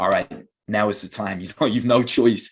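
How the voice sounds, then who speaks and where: In a Dublin accent, a man speaks at a medium pitch. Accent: Irish (Dublin). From Ireland, Dublin. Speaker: English teacher. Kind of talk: interview. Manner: halting, many repeated words.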